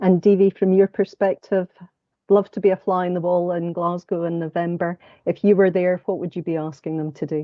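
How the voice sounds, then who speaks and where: Fairly low female voice in a Scottish accent, flat and monotone, at a fairly quick pace. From Scotland. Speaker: panel moderator, law firm partner. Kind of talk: panel discussion moderation.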